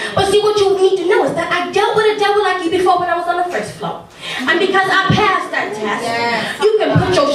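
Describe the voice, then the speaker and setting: Speaking fairly quickly with hardly any pauses, a woman with an extremely high pitch comes through over noticeable background noise. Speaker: spoken word poet. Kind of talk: spoken word poetry performance. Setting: live open mic.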